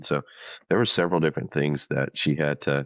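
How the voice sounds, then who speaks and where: A man with a very deep, low pitch and an American accent, vocal fry in his voice, fairly even intonation, and a moderate pace. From US South, rural Louisiana. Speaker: military vocalist. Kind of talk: interview storytelling. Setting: studio.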